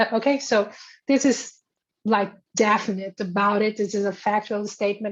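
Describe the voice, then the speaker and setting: Against a quiet background, a woman with a non-native accent speaks at a fairly quick pace. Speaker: philosophy scholar. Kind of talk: academic Q&A answer. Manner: halting.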